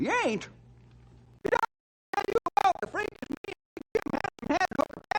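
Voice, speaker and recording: In a put-on character voice, the speaker goes at a fairly quick pace with an extremely high pitch and long, frequent pauses. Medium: old radio play. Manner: folksy, chuckling.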